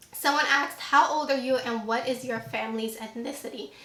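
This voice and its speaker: Audible room echo and noticeable background noise surround a woman speaking at a high pitch. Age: 20s. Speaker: beauty YouTuber. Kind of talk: casual Q&A vlog. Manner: animated.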